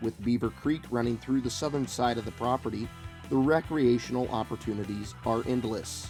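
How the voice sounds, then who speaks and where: Over background music, a man's voice sits at a medium pitch. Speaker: real estate auction promo narrator. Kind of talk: real estate listing promo narration.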